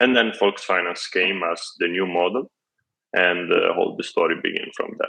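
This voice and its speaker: A man with an Italian accent at a moderate pace. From Italy. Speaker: tech startup CEO. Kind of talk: interview. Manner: halting.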